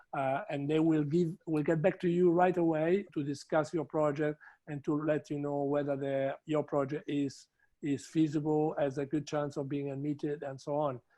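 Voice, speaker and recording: Someone speaks with an Italian accent in a dark, mellow tone, using monotone, flat intonation at a moderate pace. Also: man, fairly high pitch for a man. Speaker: trade promotion representative. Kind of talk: webinar closing remarks. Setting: online webinar.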